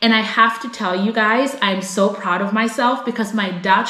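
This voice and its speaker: A woman speaks with an American accent at a medium pitch. Audible room echo and noticeable background noise fill the recording. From United States. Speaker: vlogger. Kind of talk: casual vlog talk to camera. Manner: animated.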